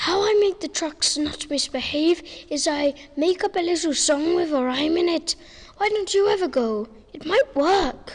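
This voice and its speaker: A put-on character voice at an extremely high pitch speaks at a moderate pace. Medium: audio drama.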